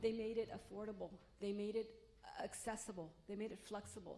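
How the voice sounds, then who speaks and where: There is noticeable background noise. Through it, a woman talks at medium pitch. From Los Angeles, US (came from Mexico at 3). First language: Spanish. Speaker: college president candidate. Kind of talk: public forum talk.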